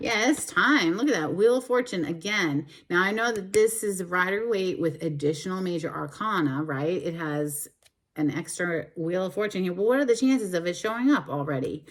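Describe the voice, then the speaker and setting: A woman speaks at a moderate pace in a medium pitch, with an animated tone and lively intonation. The recording is very clean, with a silent background. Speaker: tarot reader. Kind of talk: tarot card reading. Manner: loud.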